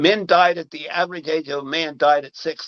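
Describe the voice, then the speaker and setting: With an American accent, a man has a normal speaking voice, fairly high in pitch with ordinary pitch variation, at a moderate pace in a dry, close sound with no echo. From Marion, Ohio. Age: 60s. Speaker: city council member. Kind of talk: political interview.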